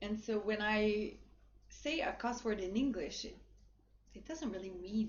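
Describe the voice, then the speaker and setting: Fairly slow speech in a French Canadian accent, with ordinary pitch variation and audible room echo. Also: woman. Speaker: livestream influencer and model. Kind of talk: livestream shopping chat. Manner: casual, hesitant with fillers.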